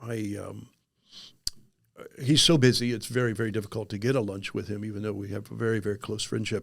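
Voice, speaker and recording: Fairly low in pitch, a man speaks at a very fast pace with fairly even intonation and long, frequent pauses. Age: 60s. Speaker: life insurance agent, former pastor. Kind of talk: podcast interview. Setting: studio. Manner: halting, many fillers and repeats.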